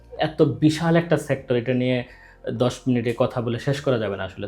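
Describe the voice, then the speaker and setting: A man speaks at a medium pitch in an unremarkable speaking voice with ordinary pitch variation. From Bangladesh. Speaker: YouTube channel host. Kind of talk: interview.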